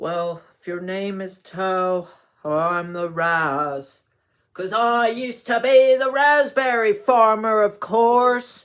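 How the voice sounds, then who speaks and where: In a put-on character voice, a man speaks at high pitch and a very slow pace, with lively intonation and big swings in loudness, on a very clean recording with a silent background. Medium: read story. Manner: chatty, repeats "of course".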